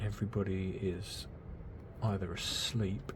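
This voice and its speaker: Soft-spoken and somewhat breathy, a man with a British accent talks at a very slow pace and fairly low pitch amid audible room echo. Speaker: miniature hobby youtuber. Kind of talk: casual build tutorial. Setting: home at night, quiet. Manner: quiet, soft-spoken.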